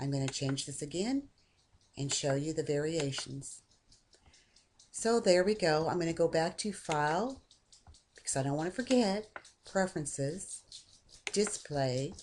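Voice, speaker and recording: Speaking at a fairly slow pace, a woman uses a fairly low pitch and lively intonation with long, frequent pauses. Light background noise is present. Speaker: software tutorial maker; software tutorial narrator. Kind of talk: screen-recorded tutorial. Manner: casual, conversational.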